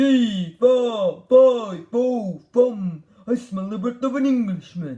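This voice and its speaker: In a put-on character voice, a man speaks at an extremely high pitch. His pace is very slow. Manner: terrible, booming.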